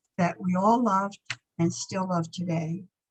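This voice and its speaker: Somewhat breathy and at a moderate pace, a woman speaks in a medium pitch with an American accent. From Piermont, New York (lower Hudson Valley). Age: 80s+. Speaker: local resident sharing memories. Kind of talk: reading aloud memoir.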